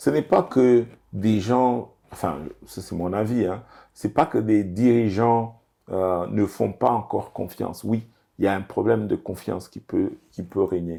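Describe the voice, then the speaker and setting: Over a very clean recording with a silent background, a dark, mellow tone speaks at a fairly slow pace with ordinary pitch variation. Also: man, fairly low pitch for a man. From DR Congo. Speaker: business executive. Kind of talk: interview. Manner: hesitant, many fillers.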